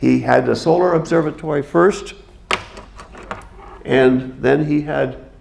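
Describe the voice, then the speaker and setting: Noticeable background noise fills the recording. A man's voice carries audible room echo. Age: 70s. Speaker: observatory docent giving a talk. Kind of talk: lecture. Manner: halting, with fillers and restarts.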